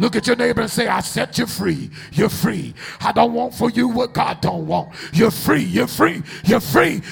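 A man with an animated tone speaks at a high pitch with very wide pitch swings, over noticeable background noise. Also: moderate pace. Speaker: preacher. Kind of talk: sermon. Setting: church. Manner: animated, call-and-response, exhorting the congregation; emphatic, commanding.

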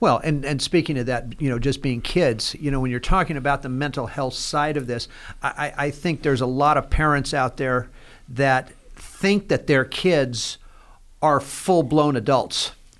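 At a moderate pace, a normal speaking voice shows ordinary pitch variation. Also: man, fairly high pitch for a man. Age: 60s. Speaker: nonprofit founder and podcast host in addiction recovery. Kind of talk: casual interview conversation.

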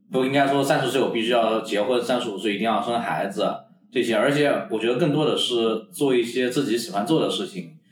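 A man talks at a fairly quick pace while noticeable background noise is heard. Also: medium pitch for a man, ordinary pitch variation. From Kunming, Yunnan, China. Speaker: podcast co-host. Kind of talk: casual chat.

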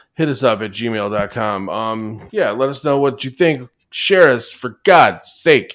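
A man's plain, everyday voice at a medium pitch, fairly slow with hardly any pauses, lively intonation, on a very clean recording with a silent background. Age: 40s. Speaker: podcast co-host. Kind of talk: casual chat.

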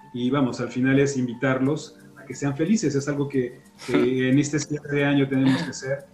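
A man's fairly high voice at a moderate pace, fairly even in intonation but with big swings in loudness, over noticeable background noise. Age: 40s. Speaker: health podcaster. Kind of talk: interview. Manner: hesitant.

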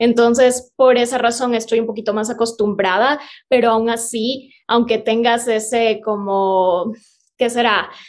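This woman's fairly high voice moves at a fairly slow pace with monotone, flat intonation. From Ecuador, Cuenca. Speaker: vegan content creator and film student. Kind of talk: casual interview chat.

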